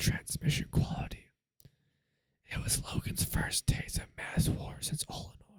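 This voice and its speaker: The speaker is whispering. The pace is moderate. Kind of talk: ASMR audiobook reading. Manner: whispered.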